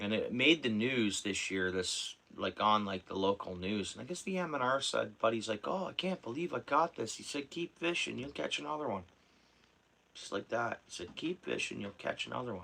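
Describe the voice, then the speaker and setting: This man talks at a medium pitch with a bright, sharp tone. His pitch swings very widely at a moderate pace. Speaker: fishing livestreamer. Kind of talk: casual livestream chat. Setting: at home.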